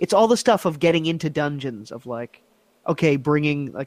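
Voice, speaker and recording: In an unremarkable speaking voice, a man with fairly high pitch talks with lively intonation on a very clean recording with a silent background. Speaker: video game writer. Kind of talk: casual chat.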